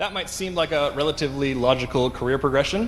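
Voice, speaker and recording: Amid noticeable background noise, a man with a Canadian accent talks at a very fast pace and a fairly high pitch. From western Canada, Vancouver. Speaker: conference speaker, engineering director. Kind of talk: conference talk. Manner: frequent filler 'um'.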